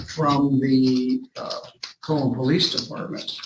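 A man talks at a very slow pace with ordinary pitch variation over noticeable background noise. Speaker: judge at a hearing. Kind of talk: formal courtroom statement. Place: office.

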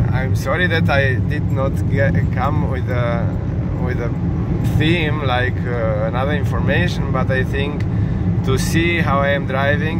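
A man at a fairly slow pace, with long, frequent pauses, loud background noise and a dry sound with no echo. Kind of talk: casual vlog chat. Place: car. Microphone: phone near.

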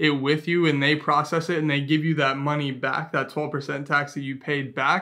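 A man speaks at a moderate pace in a bright, sharp tone, flat and monotone, with hardly any pauses over a quiet background. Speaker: travel vlogger. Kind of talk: casual vlog chat. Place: home room.

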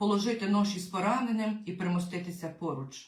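The intonation here is fairly even. It comes in a natural reading voice.

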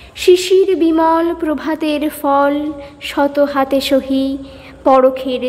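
Noticeable background noise behind a woman with a high pitch. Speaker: poetry reciter. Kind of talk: poetry reading.

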